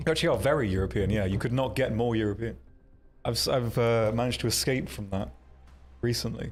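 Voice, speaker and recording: Talking at a very fast pace with a British accent, a man shows ordinary pitch variation. Music plays in the background and the room echo is audible. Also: medium pitch for a man. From UK. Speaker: game channel co-host. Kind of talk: casual chat.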